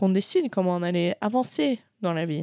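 This woman's voice sits at a medium pitch with a dark, mellow tone. The recording is very clean, with a silent background. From Switzerland. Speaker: adventurer in family business. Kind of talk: casual interview. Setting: event venue in Paris.

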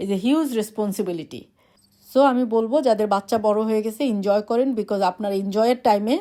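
Her tone is dark and mellow. The woman's pitch sits fairly high. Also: ordinary pitch variation. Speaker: vlogger. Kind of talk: casual monologue to camera.

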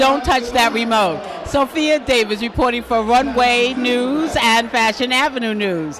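Faint crowd noise and faint background noise sit behind a fairly bright tone with ordinary pitch variation. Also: woman, fairly high pitch for a woman, fairly slow pace.

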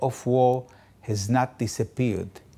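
A man's dark, mellow tone at a very slow pace. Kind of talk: appeal statement to camera. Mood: serious, urgent. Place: office. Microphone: lapel.

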